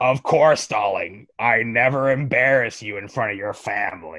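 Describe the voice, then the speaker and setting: A man speaks at a moderate pace in a medium pitch. He uses a put-on character voice. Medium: actual play. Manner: sugary, fawning.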